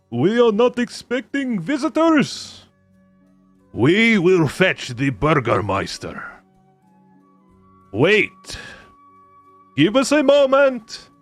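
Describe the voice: Putting on a character voice with a strong non-native accent, a man speaks very slowly with long, frequent pauses, his high pitch making very wide swings as faint music plays behind him. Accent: thick foreign.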